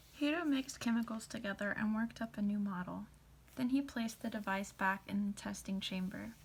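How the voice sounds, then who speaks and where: Soft-spoken and somewhat breathy, a woman talks at a medium pitch with ordinary pitch variation. Her pace is fairly quick. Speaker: ASMR content creator. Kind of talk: storybook narration.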